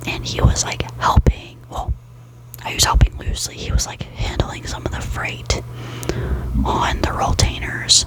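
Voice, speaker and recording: A woman whispers at a fairly slow pace while noticeable background noise carries on. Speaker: ASMR creator. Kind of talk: ASMR gossip talk to camera in bed. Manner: soft-spoken, whispering.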